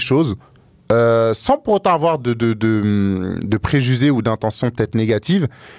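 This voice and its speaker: A man speaks with lively intonation in a dry, close sound with no echo, on a very clean recording with a silent background. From Africa. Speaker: podcast guest. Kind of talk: casual chat. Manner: loud.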